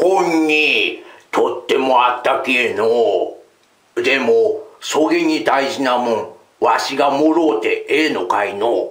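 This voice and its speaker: Using a put-on character voice pitched fairly high, a man speaks at a fairly slow pace with audible echo. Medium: read story. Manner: gruff.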